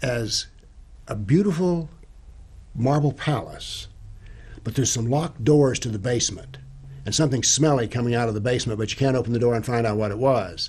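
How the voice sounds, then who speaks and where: The man's somewhat breathy voice moves at a fairly quick pace with ordinary pitch variation and long, frequent pauses. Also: medium pitch for a man. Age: 70s. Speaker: retired professor and author on Islam. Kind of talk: interview.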